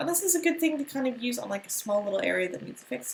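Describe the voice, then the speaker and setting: A woman talks at a very fast pace in an American accent. Her pitch swings very widely. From United States. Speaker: art or design teacher. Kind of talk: tutorial. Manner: casual, with many fillers.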